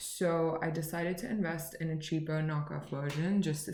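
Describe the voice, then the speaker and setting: Over noticeable background noise and audible room echo, a woman speaks at a moderate pace with a very deep, low pitch and fairly even intonation. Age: 20s. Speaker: beauty and lifestyle vlogger. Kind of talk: casual haul vlog. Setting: at home, at midnight. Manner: chatty, rambling. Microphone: laptop recording.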